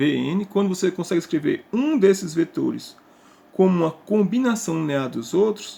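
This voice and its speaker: A man speaks at a moderate pace with a high pitch. His tone is dark and mellow, and his pitch swings very widely. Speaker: math teacher. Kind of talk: lecture.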